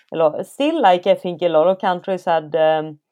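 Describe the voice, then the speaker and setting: Speaking at a moderate pace in a Swedish accent, a woman has a fairly low voice with a dark, mellow tone. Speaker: elite trail runner and company co-founder. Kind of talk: casual interview.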